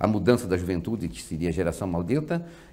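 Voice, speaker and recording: A man speaks with a very deep, low pitch and a dark, mellow tone. His intonation is lively. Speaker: guest. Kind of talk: interview answer. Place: studio. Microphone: lapel.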